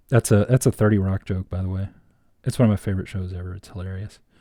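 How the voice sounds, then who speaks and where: Over a silent background in a very clean recording, a man speaks in a dark, mellow tone that is somewhat breathy and fairly low in pitch. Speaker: artist. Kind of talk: live drawing stream with casual chat. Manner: rambling with many fillers.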